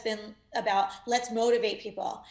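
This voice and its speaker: A woman's fairly slow, fairly high-pitched delivery, a normal speaking voice with fairly even intonation. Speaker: motivational speaker and entrepreneur. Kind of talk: interview.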